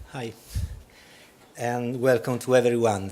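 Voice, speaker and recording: A man with an Italian accent at a moderate pace. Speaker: regional government urban planner. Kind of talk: conference presentation read from script.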